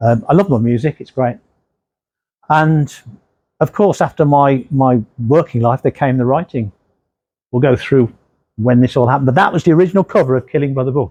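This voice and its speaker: In an English Midlands accent, a man with a dark, mellow tone talks at a fairly quick pace broken by long, frequent pauses, the sound dry and close with no echo. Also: medium pitch for a man, ordinary pitch variation. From English Midlands, Redditch, Worcestershire. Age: 60s. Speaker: crime novelist. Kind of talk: author talk. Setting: library talk with audience. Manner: casual.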